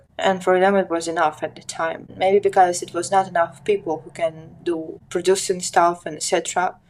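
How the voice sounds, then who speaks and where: Woman with a fairly low pitch and monotone, flat intonation, moderate pace, hardly any pauses. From Ukraine, Odesa. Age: 20s. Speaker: documentary photographer. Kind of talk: interview conversation.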